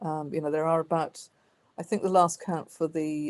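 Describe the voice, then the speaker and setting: Speaking at a very fast pace, a woman talks with a Welsh accent. Her pitch is very deep and low, with a dark, mellow tone. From Wales. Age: 50s. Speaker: author and historian. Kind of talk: interview. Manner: hesitant, many fillers.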